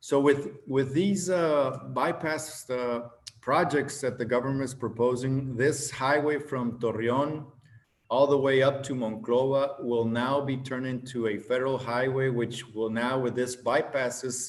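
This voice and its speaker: With a Spanish accent, a man talks at a fairly slow pace in a medium pitch with fairly even intonation, and audible room echo is present. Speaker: government official. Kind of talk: conference presentation.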